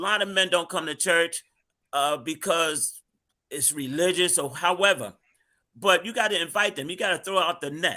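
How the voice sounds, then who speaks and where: A man with an American accent speaks at a high pitch in a bright, sharp tone. The recording is very clean, with a silent background. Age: 60s. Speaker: street minister. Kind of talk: panel discussion.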